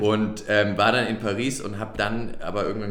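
Audible room echo surrounds the voice. A man speaks with a fairly low pitch. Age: 30s. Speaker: startup CEO. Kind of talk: interview. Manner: halting, many fillers.

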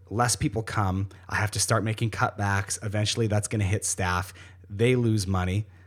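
A man speaks in a somewhat breathy voice with monotone, flat intonation. His loudness stays very even. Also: fairly low pitch for a man, very clean recording, silent background. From Ontario, Canada. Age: 20s. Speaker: podcast host and coffee shop owner. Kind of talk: casual interview. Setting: studio in coffee shop office. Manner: fast talker.

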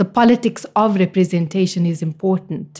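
A woman speaks at a moderate pace in a medium-pitched, dark, mellow, somewhat breathy voice. Her pitch varies in an ordinary way, and the recording is very clean with a silent background. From South Africa, East Rand near Johannesburg. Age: young. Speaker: public health researcher. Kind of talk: interview. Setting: recorded in Cape Town.

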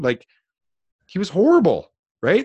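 A man with a Canadian accent talks at a fairly quick pace. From New Brunswick, Canada. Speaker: business coach. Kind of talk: interview.

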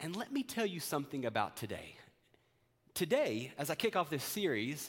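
A man speaks in an ordinary speaking voice at a fairly high pitch and fairly quick pace, in a very clean recording with a silent background. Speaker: minister. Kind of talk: sermon. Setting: church.

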